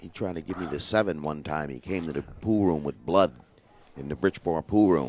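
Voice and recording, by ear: A man speaks at a fairly quick pace with an extremely low pitch. His tone is slightly mellow, with ordinary pitch variation.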